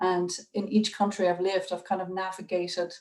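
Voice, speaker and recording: A woman speaks with an Irish accent at a medium pitch. Her intonation is monotone and flat. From Ireland. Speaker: curator. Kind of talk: public talk on video call. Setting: video call. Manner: hesitant, many fillers.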